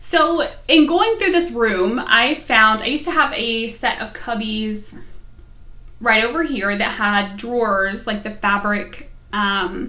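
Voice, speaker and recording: A woman speaks very slowly at a fairly high pitch, with lively intonation and a slight West Virginia accent. Noticeable background noise and audible room echo fill the recording. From US, West Virginia. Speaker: knitting podcaster. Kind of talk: casual vlog chat.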